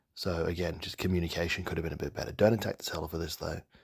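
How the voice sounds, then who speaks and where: Speaking at a very fast pace, a man with a very deep, low pitch sounds somewhat breathy on a very clean recording against a silent background. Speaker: toy collector video creator. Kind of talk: voice-over commentary. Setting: post-production voice-over.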